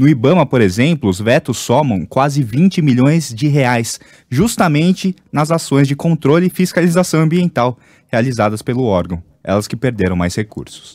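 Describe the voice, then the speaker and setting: Here a man's pitch swings very widely. The recording is dry and close, without echo. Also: medium pitch for a man, moderate pace, very clean recording, silent background. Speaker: radio news anchor. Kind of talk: news reading, also reads ads. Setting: radio studio.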